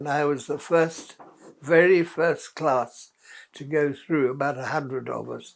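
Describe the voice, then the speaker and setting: A man's fairly high voice, fairly slow and fairly even in intonation, with big swings in loudness. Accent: New Zealand. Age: 80s+. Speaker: war veteran. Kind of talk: interview answer.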